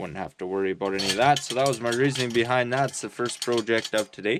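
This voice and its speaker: With a rural Canadian accent, a man speaks using ordinary pitch variation. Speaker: homesteader vlogger. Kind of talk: casual vlog talk to camera. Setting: remote bush cabin. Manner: mumbling, halting with fillers.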